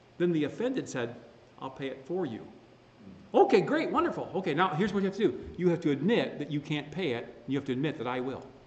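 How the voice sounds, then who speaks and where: Very fast and animated in tone, a man with fairly high pitch talks with lively intonation. Audible room echo surrounds him. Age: 60s. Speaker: pastor. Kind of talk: sermon.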